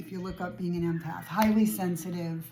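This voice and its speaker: Fairly quick and with ordinary pitch variation, a normal speaking voice carries the words. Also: woman. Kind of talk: casual talk to camera.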